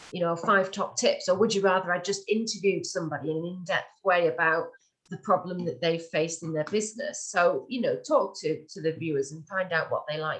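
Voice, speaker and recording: A woman speaks with a northern English accent at a moderate pace. Her voice is somewhat breathy and medium in pitch, with ordinary pitch variation. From northern England. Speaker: webinar presenter. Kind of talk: tutorial. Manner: hesitant, many fillers.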